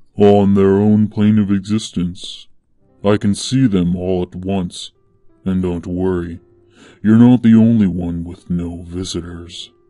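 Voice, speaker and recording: Soft-spoken and very deep, a man uses a put-on character voice at a fairly slow pace while faint music plays in the background. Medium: read story. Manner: calm, plain, faintly amused.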